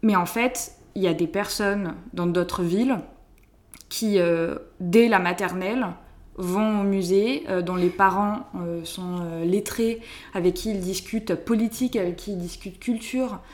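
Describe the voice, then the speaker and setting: A woman's medium-pitched voice in a southern French accent, with ordinary pitch variation, a very slow pace and long, frequent pauses. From southern France, Hérault. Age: 20s. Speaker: student, association founder. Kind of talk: casual interview. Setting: at home.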